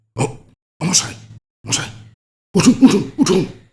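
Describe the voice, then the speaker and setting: A raspy, put-on character voice at a middle pitch swings very widely up and down. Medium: read story.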